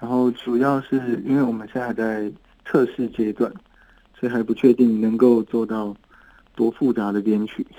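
A man's medium-pitched voice at a moderate pace, in a monotone, flat intonation. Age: 30s. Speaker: singer-songwriter. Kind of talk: casual interview.

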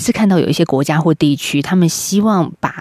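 A woman's fairly low voice, a plain, everyday voice, with lively intonation at a moderate pace. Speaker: radio host. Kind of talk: radio interview.

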